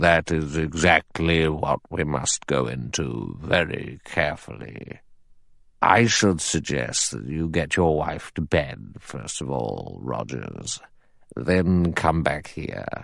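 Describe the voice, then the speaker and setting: A man puts on a character voice with a very deep, low pitch. He goes at a fairly slow pace with ordinary pitch variation. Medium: read story. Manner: authoritative, measured.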